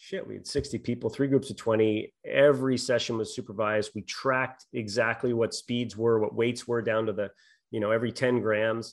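Delivering his words at a fairly quick pace, a man keeps a medium pitch and fairly even intonation. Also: quiet background. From Canada, Prince Edward Island. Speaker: sports scientist. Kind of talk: interview. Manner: halting, many fillers.

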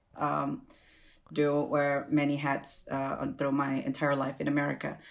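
A woman with an Indonesian accent speaks at a very deep, low pitch and a moderate pace on a very clean recording with a silent background. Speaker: food professional and activist. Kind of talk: casual chat. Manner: repeats words, halting.

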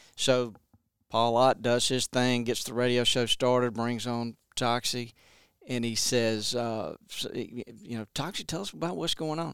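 This man talks at a fairly slow pace with medium pitch and ordinary pitch variation. The sound is dry and close, with no echo. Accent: Alabama. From Montgomery, Alabama. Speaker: conservation brand manager and author. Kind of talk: casual interview chat. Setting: office.

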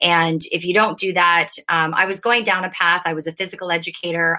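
Fairly quick speech from a woman, fairly low in pitch, with a bright, sharp tone and monotone, flat intonation. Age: 40s. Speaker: mindset, nutrition and fitness coach. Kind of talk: interview.

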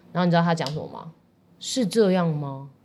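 The tone is dark and mellow, with ordinary pitch variation. Delivery comes at a very fast pace. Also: woman. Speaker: dietitian, podcast co-host. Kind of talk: casual chat.

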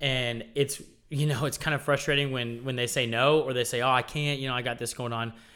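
Bright and sharp in tone, a man speaks at medium pitch and a fairly quick pace. The recording is very clean, with a silent background. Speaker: church groups director. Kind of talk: casual chat. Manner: animated.

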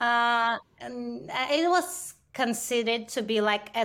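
The woman's pitch shows ordinary variation. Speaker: introvert marketing coach. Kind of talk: interview conversation. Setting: remote recording via microphone and camera. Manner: halting, many fillers.

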